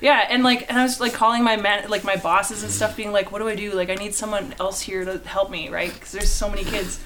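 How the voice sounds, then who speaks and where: With a Canadian accent and a medium-pitched voice, a woman speaks very fast with hardly any pauses, fairly even intonation and big swings in loudness, as music plays in the background. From Canada. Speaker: artist. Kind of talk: casual chat.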